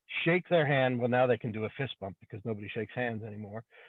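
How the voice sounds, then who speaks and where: A man is talking at a fairly quick pace. His pitch variation is ordinary. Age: 60s. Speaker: auto repair shop owner. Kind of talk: open forum discussion. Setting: in a car. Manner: halting, repeats words.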